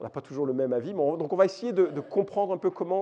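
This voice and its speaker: A man's high-pitched voice carries a dark, mellow tone. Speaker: Bible teacher, conference speaker. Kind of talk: lecture. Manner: hesitant, many fillers.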